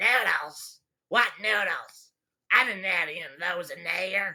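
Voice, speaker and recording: In a put-on character voice, a woman speaks raspy at medium pitch with ordinary pitch variation, a fairly slow pace and big swings in loudness. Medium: audio drama. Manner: blunt and sassy.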